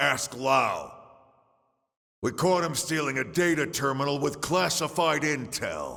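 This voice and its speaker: Using a put-on character voice, a man speaks fairly slowly at a fairly high pitch, his intonation fairly even. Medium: video game. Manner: gruff, shouting.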